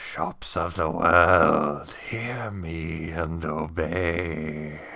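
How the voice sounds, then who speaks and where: In a put-on character voice, a man speaks very slowly with a raspy, very deep, low pitch. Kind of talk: archaic, grandiose.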